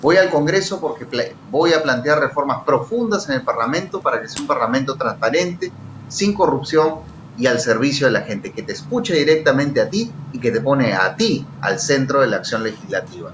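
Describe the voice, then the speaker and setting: Fairly quick, lively speech over noticeable background noise. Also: man, fairly high pitch for a man. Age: 30s. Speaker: politician, congressional candidate and lawyer. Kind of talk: political interview.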